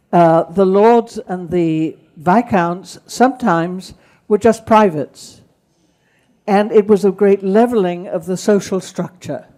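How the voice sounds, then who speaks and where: With a southern English accent, a woman speaks at a fairly slow pace and medium pitch, her tone dark and mellow and her pitch variation ordinary. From England, Kent. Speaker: speaker on wartime childhood. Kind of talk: talk with Q and A.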